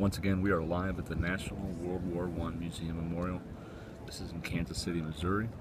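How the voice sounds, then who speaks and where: Soft-spoken, a man with a very deep, low pitch talks at a moderate pace in a monotone, flat intonation. Audible room echo surrounds his voice. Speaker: livestream host. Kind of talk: live outdoor commentary. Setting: outdoors at memorial.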